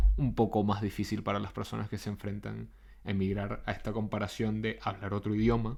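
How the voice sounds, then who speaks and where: A man with a Caracas Venezuelan accent speaks at a moderate pace. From Venezuela, Caracas. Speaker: podcaster and psychotherapist. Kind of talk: reflective monologue.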